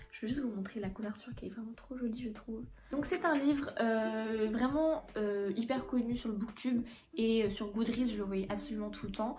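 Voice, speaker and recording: A woman talks at a fairly quick pace with a fairly high pitch and ordinary pitch variation. Audible room echo and noticeable background noise surround her voice. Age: 20s. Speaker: book YouTuber. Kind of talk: casual vlog, book haul. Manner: hesitant, lots of filler 'euh'.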